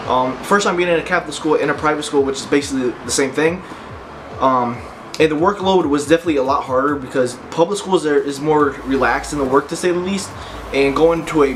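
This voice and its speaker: Over noticeable background noise, a man with a fairly high pitch talks very fast. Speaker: fitness vlogger. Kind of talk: personal story vlog. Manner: halting.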